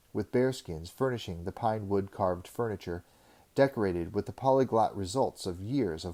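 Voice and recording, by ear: A passage is read aloud here in a natural voice.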